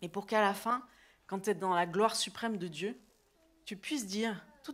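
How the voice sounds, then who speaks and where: A woman speaks loudly in an animated tone. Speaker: preacher. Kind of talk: sermon.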